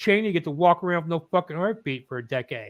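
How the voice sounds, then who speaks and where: The recording has a dry, close sound with no echo. A man with a Midwestern American accent speaks at a high pitch with ordinary pitch variation. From Indiana. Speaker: streamer. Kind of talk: casual chat.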